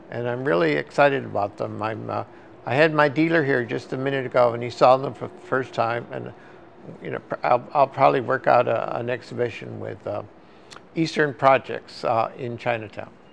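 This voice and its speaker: A man with an American accent at a fairly quick pace, with noticeable background noise. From East Los Angeles, California (Boyle Heights). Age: 80s+. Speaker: artist. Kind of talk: casual interview monologue. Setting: artist's studio. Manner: halting, many fillers.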